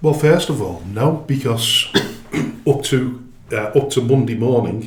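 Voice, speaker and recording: With long, frequent pauses, a man speaks at a fairly slow pace and medium pitch with ordinary pitch variation, and the room echo is audible. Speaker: football club chairman. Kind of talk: interview. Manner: halting, many fillers and restarts.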